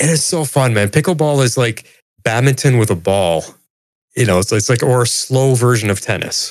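A man's normal speaking voice, medium in pitch, with lively intonation. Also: moderate pace, very even loudness. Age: 50s. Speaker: returning podcast guest. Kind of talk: casual chat.

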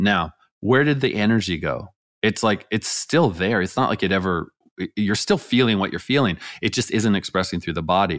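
A man with an American accent and a normal speaking voice, fairly low in pitch, at a moderate pace with ordinary pitch variation, on a very clean recording with a silent background. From rural California. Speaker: energy healer, former chiropractor. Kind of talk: interview about energy healing; guided exercise.

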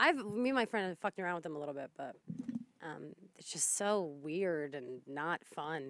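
With an American accent, a woman talks at a moderate pace in a fairly low pitch, her intonation lively, in a normal speaking voice. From northern New Jersey, Bergen County. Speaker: radio producer. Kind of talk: casual chat.

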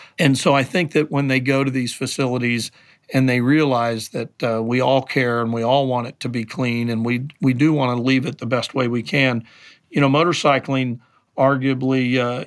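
Recorded very cleanly over a silent background, a man with an unremarkable speaking voice talks at a moderate pace and medium pitch with fairly even intonation. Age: 60s. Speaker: motorsport event director. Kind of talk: interview.

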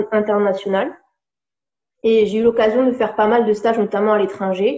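This woman talks at a fairly high pitch with fairly even intonation. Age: 30s. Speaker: life coach. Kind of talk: interview. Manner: hesitant, with many fillers.

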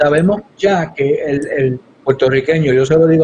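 An unremarkable speaking voice, this man's pitch sits fairly high, with ordinary pitch variation and a moderate pace. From Puerto Rico (Yabucoa). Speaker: congressional candidate. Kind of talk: political interview.

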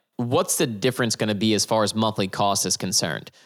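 A man with a plain, everyday voice and an American accent speaks at a medium pitch and a fairly quick pace in a very clean recording with a silent background. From New Jersey. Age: 30s. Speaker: real estate investor. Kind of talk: interview.

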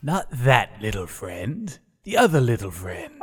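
In a very clean recording with a silent background, a man uses a put-on character voice at medium pitch and a fairly slow pace. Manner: pompous, menacing.

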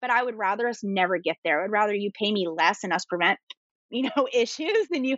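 With an East Coast US accent, a woman talks at a fairly quick pace in a fairly high pitch. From US East Coast. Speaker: attorney and entrepreneur. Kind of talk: casual interview chat. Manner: fast talker.

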